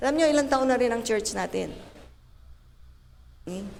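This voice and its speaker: Lively intonation marks this woman's speech, heard with audible room echo. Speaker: pastor. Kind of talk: sermon. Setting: church. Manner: tireless, keeps voice for an hour; animated.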